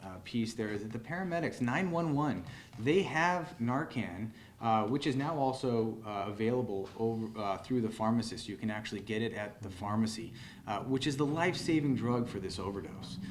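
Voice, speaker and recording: The man's voice sits at a medium pitch, with lively intonation and a moderate pace. Room echo is audible. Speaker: emergency room physician. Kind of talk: press conference Q&A. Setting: press conference in hospital. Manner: loud.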